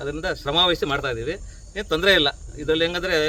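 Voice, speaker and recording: Noticeable background noise accompanies a man whose voice is high, with ordinary shifts in pitch. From Karnataka, Bengaluru. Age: 50s. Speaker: artist and hobby farmer. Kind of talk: casual talk to visitors.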